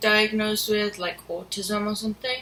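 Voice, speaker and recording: A woman's monotone, flat intonation against noticeable background noise. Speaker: vlogger. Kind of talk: casual monologue vlog. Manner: halting, with pauses; quiet, reserved when sober.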